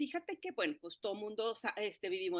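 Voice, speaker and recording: Her intonation rises and falls in a lively way. This woman's voice sits fairly high. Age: 50s. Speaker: forest therapy guide. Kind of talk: interview conversation. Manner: halting, many fillers and restarts.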